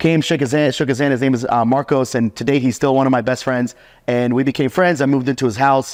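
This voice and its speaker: A man with an American accent and an animated tone, at a very fast pace with very even loudness. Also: medium pitch for a man. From US South, Atlanta, Georgia. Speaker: remote hiring entrepreneur, podcast host interviewed. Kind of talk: casual interview chat.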